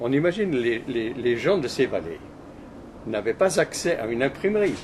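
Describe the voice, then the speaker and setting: The man's medium-pitched voice moves in very wide pitch swings. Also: moderate pace. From Switzerland, Valais. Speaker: interviewee recalling his life. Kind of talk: interview. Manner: halting, many repetitions.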